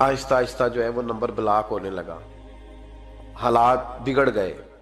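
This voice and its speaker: With music in the background, a man talks at a medium pitch using fairly even intonation. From Pakistan. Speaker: Islamic scholar and preacher. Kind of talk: Islamic sermon (bayan). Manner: emotional, storytelling.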